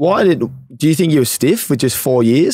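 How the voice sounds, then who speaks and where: Speaking very fast with lively intonation, a man with an Australian accent comes through in a dry sound with no echo. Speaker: podcast host. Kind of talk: casual interview. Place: studio. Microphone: studio mic.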